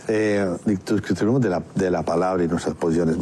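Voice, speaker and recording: A man is speaking. His pace is moderate. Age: 60s. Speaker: radio co-host. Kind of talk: radio talk show. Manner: halting.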